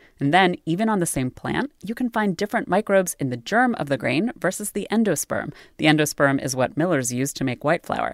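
Talking at a fairly quick pace, a woman uses a fairly low pitch with very wide pitch swings. The sound is dry and close, with no echo. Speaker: podcast co-host. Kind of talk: scripted narration.

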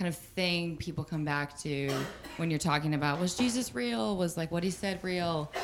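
Her voice sits at a fairly low pitch for a woman, with ordinary pitch variation. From US South. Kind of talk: question from audience in casual living-room discussion. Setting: living room. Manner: halting.

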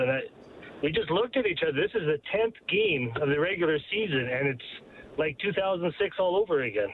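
An ordinary speaking voice moves at a fairly quick pace with lively intonation and very even loudness. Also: man. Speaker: caller. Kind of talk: casual phone-in comment. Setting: phone call.

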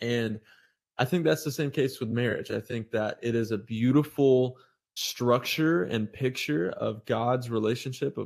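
A man with an American accent has an unremarkable speaking voice at medium pitch, with ordinary pitch variation and a fairly slow pace. The recording is very clean, with a silent background. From US South, North Florida. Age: 20s. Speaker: evangelist. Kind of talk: casual chat.

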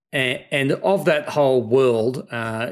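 Medium in pitch, a man's voice is heard. The recording is very clean, with a silent background. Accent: Australian. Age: 50s. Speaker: tech startup founder and CEO. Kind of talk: interview.

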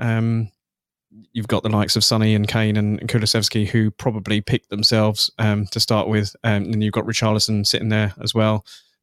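In a southern English accent, a man speaks at a fairly quick pace with a fairly low pitch and flat, monotone intonation, in a dry, close sound with no echo and a very clean recording with a silent background. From southern England. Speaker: football website editor and Tottenham fan. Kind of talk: casual chat.

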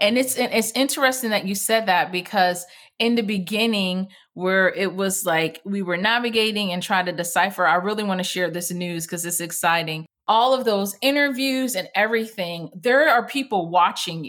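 A woman's medium-pitched voice at a moderate pace with ordinary pitch variation, on a very clean recording with a silent background. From United States, Jamaican family. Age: 40s. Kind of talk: interview. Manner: animated.

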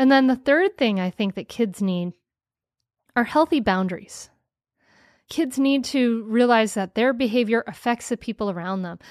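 At a moderate pace over a quiet background, the speaker sounds animated, with lively intonation and long, frequent pauses. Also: woman, fairly high pitch for a woman. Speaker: podcast host. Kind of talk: interview.

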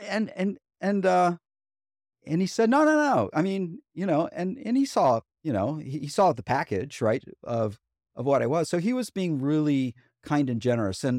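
At a moderate pace, the voice makes very wide pitch swings in a very clean recording with a silent background. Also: man. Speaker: fitness author. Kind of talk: casual interview.

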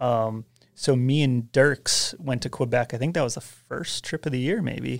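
A man speaks at a medium pitch and a moderate pace, with ordinary pitch variation, in a normal speaking voice. The recording is very clean, with a silent background. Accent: American. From US Northeast, Westchester New York. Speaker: snowboard filmer and editor. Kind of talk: casual chat.

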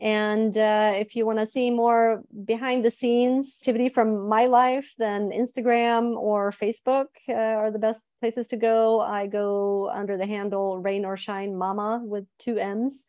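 A woman speaks at a fairly slow pace with hardly any pauses, her fairly high-pitched voice dark and mellow in tone, flat and monotone, on a very clean recording with a silent background. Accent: Swedish. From Sweden. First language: Swedish. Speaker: writer. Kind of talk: interview.

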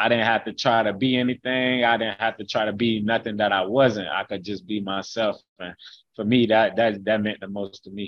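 With an ordinary speaking voice, a man speaks at a moderate pace in a fairly low pitch and fairly even intonation. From Haines City, Polk County, Florida. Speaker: college football player, NFL prospect. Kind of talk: interview.

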